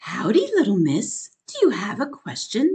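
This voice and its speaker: A woman puts on a character voice with a fairly high pitch. Her pitch swings very widely at a moderate pace. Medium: read story.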